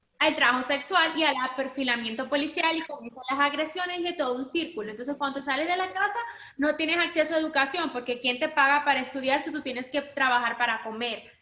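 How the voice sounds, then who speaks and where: A woman talks very fast in a raised, projected voice, with hardly any pauses. Her pitch is high with ordinary variation, and her tone is bright and sharp. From Dominican Republic. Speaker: human rights lawyer. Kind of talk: panel talk.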